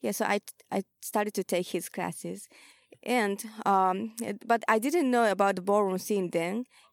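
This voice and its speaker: A woman speaks at a moderate pace with a medium pitch and ordinary pitch variation, recorded very cleanly against a silent background. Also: dry, close sound with no echo. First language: Japanese. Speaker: ballroom house mother and vogue dancer. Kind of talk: casual interview. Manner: halting.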